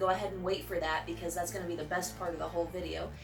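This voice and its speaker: A woman is heard with noticeable background noise. Room echo is audible. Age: 20s. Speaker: YouTuber. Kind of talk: casual vlog chat. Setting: outdoors on porch at night. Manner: quiet.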